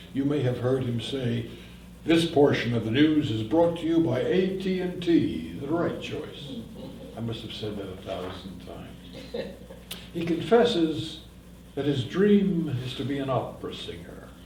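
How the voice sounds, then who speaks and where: Fairly slow, fairly high-pitched speech from a man with very wide pitch swings, plus audible room echo and noticeable background noise. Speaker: professional narrator. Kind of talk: talk to a library audience. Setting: library room with live audience, no microphone. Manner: authoritative. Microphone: no microphone.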